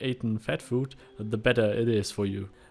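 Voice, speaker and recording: This man has a German accent and a medium pitch. He speaks at a fairly slow pace. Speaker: gaming YouTuber. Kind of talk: game tutorial. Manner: halting, many fillers.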